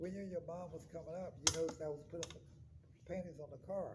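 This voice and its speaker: A man with a fairly high pitch talks in a room with audible echo and noticeable background noise. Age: 70s. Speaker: painter. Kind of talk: interview.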